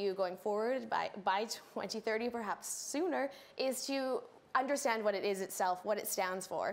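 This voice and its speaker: A woman with an ordinary speaking voice in a Canadian accent, at a moderate pace with ordinary pitch variation. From Canada. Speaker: political scientist, lecturer. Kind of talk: panel discussion.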